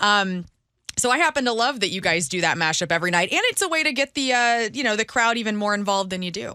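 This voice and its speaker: At a very fast pace, a woman with a fairly high pitch speaks in a bright, sharp, animated tone with lively intonation. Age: 40s. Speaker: radio host. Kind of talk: interview.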